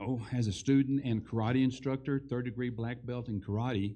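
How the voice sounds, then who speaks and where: A dark, mellow tone in a West Texas accent, at a moderate pace with fairly even intonation. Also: man. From Texas Panhandle. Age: 70s. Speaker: school board candidate. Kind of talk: candidate forum speech. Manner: halting.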